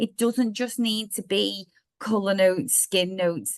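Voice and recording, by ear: A woman speaks at a medium pitch with a fairly bright tone.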